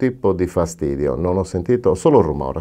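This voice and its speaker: A man speaks in a very deep, low pitch. His tone is dark and mellow. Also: quiet background. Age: 50s. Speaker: dental patient. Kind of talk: testimonial. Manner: halting. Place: studio. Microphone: lapel.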